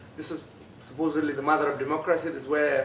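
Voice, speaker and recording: Noticeable background noise sits behind this recording. A man talks at a fairly quick pace in a fairly high pitch. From Afghanistan. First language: Pashto. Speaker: refugee and author. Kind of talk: talk to students. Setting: school event with audience. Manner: halting.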